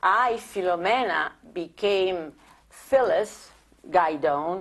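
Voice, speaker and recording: A woman with an Italian accent speaks at a medium pitch. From Italy (Rome, born near Naples). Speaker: immigrant sharing life story. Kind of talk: oral history interview. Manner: halting, repetitive.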